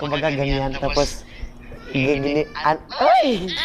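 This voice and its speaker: Against noticeable background noise, the man's voice sits fairly high. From Mindanao, North Cotabato (Magpet). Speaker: singer and performer. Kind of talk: interview.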